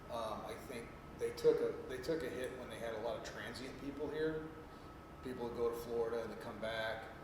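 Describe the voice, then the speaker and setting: Room echo and noticeable background noise surround a man speaking at a fairly quick pace. His pitch is medium and his intonation fairly even. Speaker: veteran panelist. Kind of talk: panel discussion. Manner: soft-spoken.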